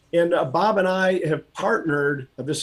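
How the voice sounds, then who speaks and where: A man talks at a moderate pace with an American accent and fairly even intonation. He has an unremarkable speaking voice. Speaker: auctioneer. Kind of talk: interview answer.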